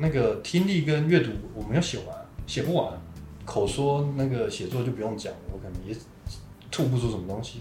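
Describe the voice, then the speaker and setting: Lively intonation and a fairly quick pace are broken by long, frequent pauses, with audible room echo and noticeable background noise. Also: man, medium pitch for a man. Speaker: podcast host sharing life story. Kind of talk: interview testimony.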